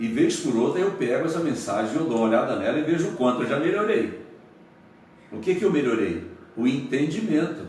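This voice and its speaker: Pitched fairly high, a man talks at a fairly quick pace with very wide pitch swings. Noticeable background noise and audible room echo surround his voice. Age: 70s. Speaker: pastor. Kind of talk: radio interview. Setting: radio studio, broadcast live.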